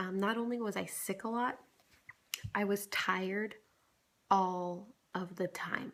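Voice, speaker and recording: The voice is quiet, with ordinary pitch variation. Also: woman. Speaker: vlogger. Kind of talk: casual vlog. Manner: quiet, holding back volume.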